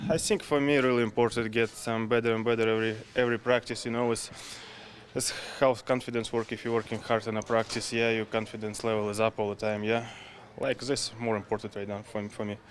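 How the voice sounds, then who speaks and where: Very fast, monotone, flat speech from a man at a medium pitch in a Russian accent, over noticeable background noise. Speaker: professional hockey goalie. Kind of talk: media scrum interview. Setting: press availability after practice. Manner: halting.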